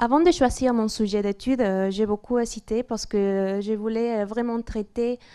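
The background is quiet as a woman speaks with a dark, mellow tone. Her pitch is fairly high, with fairly even intonation. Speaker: master's student. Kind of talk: academic presentation. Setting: stage with audience. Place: classroom. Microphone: handheld.

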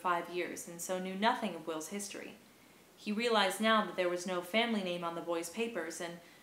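A passage is being read aloud. The voice used is a natural one.

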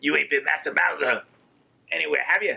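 In a gravelly, put-on character voice, a man talks at a fairly quick pace. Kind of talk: rough slang. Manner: gritty, rough.

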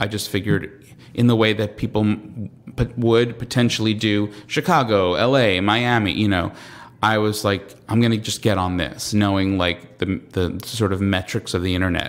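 A man with a Long Island accent, fairly low in pitch, moderate in pace, fairly even in intonation. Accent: New York (Long Island) American. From Long Island, New York. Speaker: comedian and TV writer. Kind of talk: casual interview chat. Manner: halting, many fillers and repetitions.

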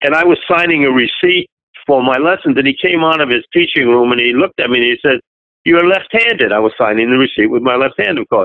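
This man talks at a very fast pace with a fairly high pitch and lively intonation. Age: 80s+. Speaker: drum teacher. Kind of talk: storytelling, anecdote.

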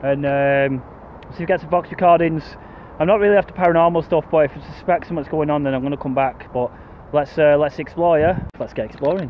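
A man speaks at a very fast pace with fairly even intonation. The sound is dry with no echo, over light background noise. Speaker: urban explorer vlogger. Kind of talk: casual vlog chat. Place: open country. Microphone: phone near.

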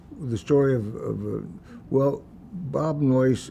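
This man has an American accent and a somewhat breathy, lively delivery. Light background noise sits behind him. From US Midwest, Des Moines, Iowa; Iowa. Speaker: venture capitalist; interviewee. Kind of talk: oral history interview. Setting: museum interview. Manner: halting, many fillers.

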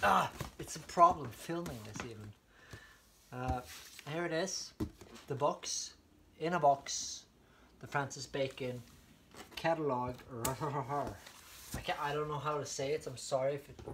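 A man's voice with big swings in loudness, ordinary pitch variation and long, frequent pauses, over noticeable background noise. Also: moderate pace. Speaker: unboxing vlogger. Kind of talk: casual vlog chat. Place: home room. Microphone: camera far.

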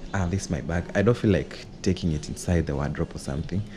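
A man talks in a very deep, low pitch with ordinary pitch variation. He keeps a moderate pace, and there is noticeable background noise. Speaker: vlogger giving an apartment tour. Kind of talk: casual vlog chat. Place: home room. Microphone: phone near.

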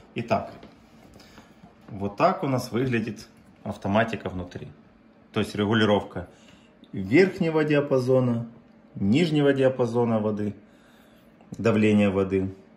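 With lively intonation, a man talks at a fairly slow pace and leaves long, frequent pauses. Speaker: pump seller or technician. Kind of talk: tutorial. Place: workshop. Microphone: phone near.

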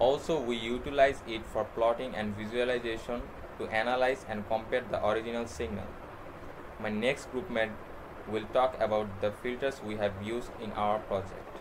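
Against noticeable background noise, a man at a medium pitch speaks at a moderate pace with fairly even intonation. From Bangladesh. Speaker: university student; presenter. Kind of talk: class project presentation. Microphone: webcam.

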